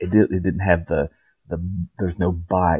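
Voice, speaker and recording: A man with an Appalachian accent and a very deep, low pitch, speaking at a moderate pace with fairly even intonation against a quiet background. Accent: Appalachian country. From West Virginia, Appalachia. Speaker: vlogger. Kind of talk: casual talk to camera. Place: home room. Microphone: webcam.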